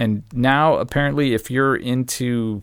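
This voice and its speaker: A man with an American accent at a medium pitch, lively intonation and moderate pace, a normal speaking voice, on a very clean recording with a silent background. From Arizona, US. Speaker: traveler. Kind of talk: casual chat.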